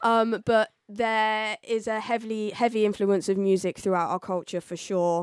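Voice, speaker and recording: At a moderate pace with hardly any pauses, a woman with an English accent speaks in a fairly high voice with fairly even intonation, on a very clean recording with a silent background and a dry, close sound with no echo. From southern England, Oxford. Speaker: DJ and music producer. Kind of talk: radio interview.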